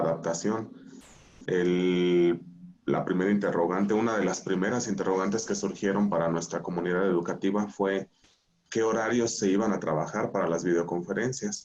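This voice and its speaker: A man with an ordinary speaking voice, fairly low in pitch, at a moderate pace with ordinary pitch variation. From Mexico, Michoacán. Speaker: school director. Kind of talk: panel discussion.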